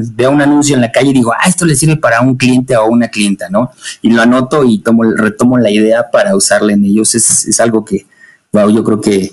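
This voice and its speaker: Speaking at a fairly quick pace, a man uses an ordinary speaking voice with ordinary pitch variation and very even loudness. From Mexico, Puebla. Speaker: marketing consultant and teacher. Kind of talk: interview.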